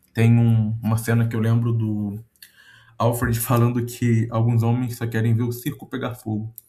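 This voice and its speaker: A dark, mellow, somewhat breathy tone with monotone, flat intonation. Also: man, medium pitch for a man, moderate pace. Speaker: content creator. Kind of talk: casual monologue reflection. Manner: hesitant, many fillers.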